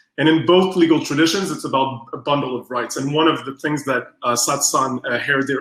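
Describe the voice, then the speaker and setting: A man talks at a very fast pace in a Quebec French accent. His tone is bright and sharp, with ordinary pitch variation. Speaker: strategic design researcher. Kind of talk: workshop presentation. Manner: halting.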